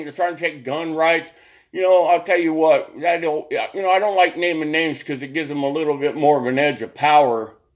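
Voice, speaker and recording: In a very clean recording with a silent background, a man speaks at a moderate pace with a fairly high pitch and ordinary pitch variation. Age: 60s. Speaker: political commentator vlogger. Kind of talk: political rant. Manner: animated.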